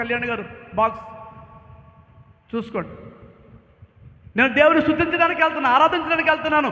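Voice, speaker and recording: A man speaks in a raised, projected voice with an animated tone. Audible room echo surrounds him. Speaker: pastor. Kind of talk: sermon. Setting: church. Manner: loud.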